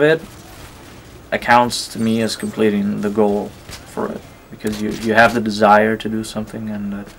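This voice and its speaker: Over noticeable background noise, a man with a non-native accent speaks at a medium pitch and moderate pace, with big swings in loudness. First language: not English. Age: 20s. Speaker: gaming YouTuber. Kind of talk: gameplay commentary with personal reflection. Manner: hesitant, many fillers.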